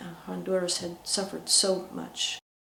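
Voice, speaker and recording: The woman speaks at a fairly slow pace. Audible room echo and noticeable background noise fill the recording. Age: 60s. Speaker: peace activist. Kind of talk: interview. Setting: indoors at a residence. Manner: halting, with many fillers.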